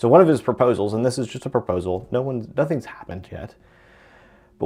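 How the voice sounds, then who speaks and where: A dark, mellow tone with lively intonation. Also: man. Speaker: real estate broker. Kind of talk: live stream commentary. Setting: live stream. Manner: casual, conversational; loud.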